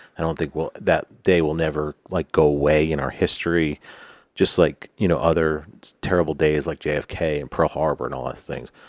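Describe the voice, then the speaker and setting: With an American accent, a man talks at a moderate pace in a very deep, low pitch, his intonation monotone and flat with vocal fry, on a very clean, dry, close recording with a silent background and no echo. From New York. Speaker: podcast co-host. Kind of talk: casual chat. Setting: studio.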